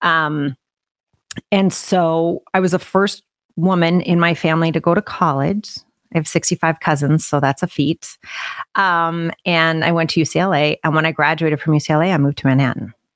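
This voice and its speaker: In a normal speaking voice, a woman with an American accent talks at a moderate pace, fairly low in pitch, with fairly even intonation and very even loudness. The recording is very clean with a silent background and a dry, close sound with no echo. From Utah, US. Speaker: business coach. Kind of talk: interview conversation.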